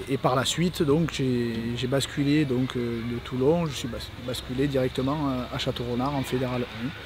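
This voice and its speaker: Music plays in the background while a man talks at a fairly slow pace with fairly even intonation. Room echo is audible. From Provence, southern France (Vaucluse). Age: 30s. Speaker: rugby club youth staff member, former player. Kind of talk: interview monologue. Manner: halting, many hesitations.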